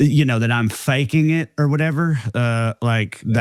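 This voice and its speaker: A man in a strong Southern US accent at a moderate pace, with a dry, close sound with no echo in a very clean recording with a silent background. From rural Tennessee. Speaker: comedian. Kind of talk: casual interview chat.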